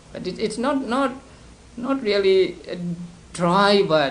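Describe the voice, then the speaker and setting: A man with a Burmese accent, very wide pitch swings and audible room echo. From Burma (Upper Burma, Sagaing). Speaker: Buddhist monk teacher. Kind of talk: lecture. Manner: halting, many repetitions and fillers.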